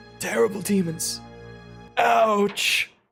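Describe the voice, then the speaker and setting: Faint music plays in the background behind a put-on character voice at a middle pitch. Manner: ominous, dramatic.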